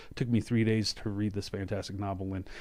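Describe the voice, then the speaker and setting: Against a quiet background, a man with an American accent and a fairly low pitch talks at a very fast pace. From US South, Shreveport, Louisiana. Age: 30s. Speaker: podcast host. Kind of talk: podcast intro monologue. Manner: rambling, hesitant with fillers.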